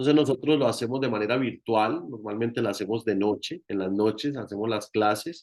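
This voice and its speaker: Spoken with a Colombian accent at a fairly quick pace, with hardly any pauses, ordinary pitch variation, and a quiet background. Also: man, medium pitch for a man. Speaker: reiki teacher and therapist. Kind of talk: online meeting talk.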